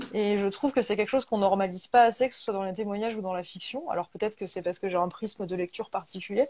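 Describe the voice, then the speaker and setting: A woman at a very fast pace with hardly any pauses. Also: medium pitch for a woman, ordinary pitch variation. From rural France, provincial. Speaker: bookshop host interviewer. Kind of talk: live interview. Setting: video call from home. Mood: warm, friendly. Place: home room. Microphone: earbuds.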